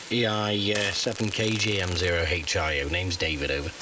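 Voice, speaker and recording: A man with a fairly low pitch speaks with lively intonation, with audible room echo and noticeable background noise. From Staffordshire, England. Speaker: amateur radio operator. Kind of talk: ham radio on-air chat. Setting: radio transmission. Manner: halting, many fillers.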